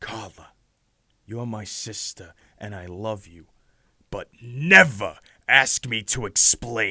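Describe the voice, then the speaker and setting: In a cartoonish character voice, a man at medium pitch speaks very slowly with long, frequent pauses, big jumps in loudness and ordinary pitch movement, all on a very clean recording with total silence behind him. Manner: measured, authoritative.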